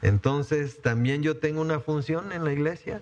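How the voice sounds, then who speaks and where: A man at a fairly slow pace. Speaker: pastor. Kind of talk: sermon. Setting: church. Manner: halting, many fillers.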